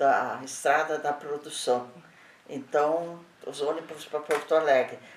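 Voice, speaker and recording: A woman talks at a fairly slow pace in a very deep, low voice, with audible room echo and light background noise. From Rio Grande do Sul, Brazil. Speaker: company founder's widow; interviewee. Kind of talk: oral history interview. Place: home room. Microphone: camera far.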